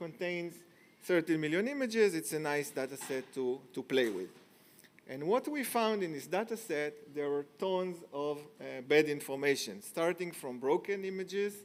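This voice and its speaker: At a moderate pace, a man with a high pitch speaks with lively intonation. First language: not English. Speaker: tech company founder, conference speaker. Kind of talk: conference talk. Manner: hesitant, many fillers.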